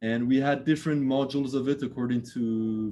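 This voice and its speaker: A man with a slight French accent and a dark, mellow tone talks at a fairly quick pace with fairly even intonation. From France. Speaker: architect. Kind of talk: lecture. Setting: video call. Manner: halting, many fillers and repeats.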